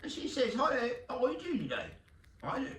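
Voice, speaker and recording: A man talks in a Southern US accent. Noticeable background noise and audible room echo surround his voice. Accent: Southern country drawl. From Texas. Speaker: podcast host and arena football team owner. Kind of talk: casual monologue.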